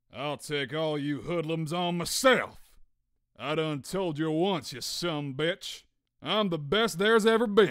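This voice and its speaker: A man does a put-on character voice at a fairly high pitch and a fairly slow pace. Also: very clean recording, silent background. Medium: dub.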